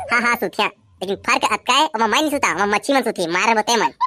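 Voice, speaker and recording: A female-sounding cartoonish character voice speaks at a fairly high pitch. The pace is very fast. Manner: gruff, folksy sayings.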